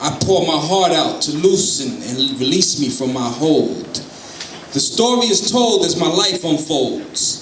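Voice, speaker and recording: Over noticeable background noise, a man with a high pitch talks at a fairly slow pace, his pitch swinging very widely. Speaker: spoken word poet. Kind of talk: live spoken word poetry performance. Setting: live stage.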